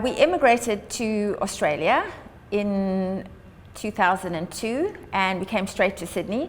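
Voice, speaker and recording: A woman with a South African accent, medium pitch and lively intonation. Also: fairly slow pace. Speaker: charity founder and long distance runner. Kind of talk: prepared address.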